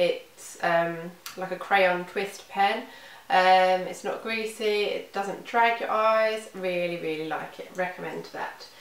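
A woman with a British accent speaks very slowly and with fairly even intonation, with light background noise and audible room echo. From UK. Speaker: beauty vlogger. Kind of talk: product review monologue. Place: home room. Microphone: camera far.

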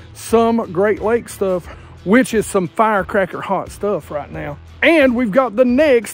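Faint music plays in the background as the voice moves at a fairly slow pace, with a dry sound that has no echo. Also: man. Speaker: fishing channel host. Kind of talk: casual vlog chat. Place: waterside.

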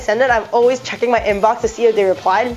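The speaker has a Canadian accent. Noticeable background noise can be heard. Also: woman. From Toronto, Canada and Hong Kong. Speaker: lifestyle vlogger. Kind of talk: casual talk to camera.

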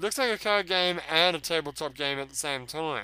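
Bright and sharp in tone, a man speaks at a fairly slow pace and fairly high pitch, with lively intonation. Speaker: gaming video creator. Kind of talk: let's play commentary. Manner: animated; casual, profane.

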